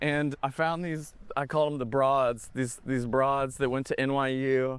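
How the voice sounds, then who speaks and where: With a Texas accent, a man at a medium pitch delivers his words at a moderate pace in a monotone, flat intonation. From Texas, East Dallas. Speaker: film director. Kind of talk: casual chat. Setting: outdoors.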